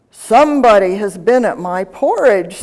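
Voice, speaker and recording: A woman's put-on character voice, gruff and raspy, at a medium pitch and a moderate pace. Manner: grumbling.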